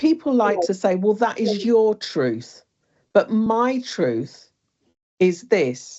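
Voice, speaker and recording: A woman with a British accent speaks at a very slow pace, leaving long, frequent pauses. Her voice sits at a medium pitch and moves with lively intonation. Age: 60s. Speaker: bereaved mother and speaker. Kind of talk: personal testimony in interview. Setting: online wellbeing session.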